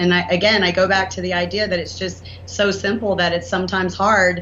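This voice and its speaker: Moderate-paced speech from a woman in an American accent, with clear echo from the room. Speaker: inventor and entrepreneur. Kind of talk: podcast interview.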